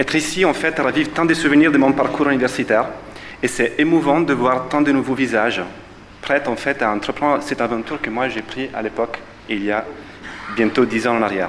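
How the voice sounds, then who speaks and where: Speaking at a fairly quick pace with long, frequent pauses, a man with a strong Italian accent talks at a medium pitch with ordinary pitch variation over noticeable background noise. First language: Italian (speaking French). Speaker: physiotherapist, alumnus. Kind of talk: ceremony speech. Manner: hesitant, many fillers.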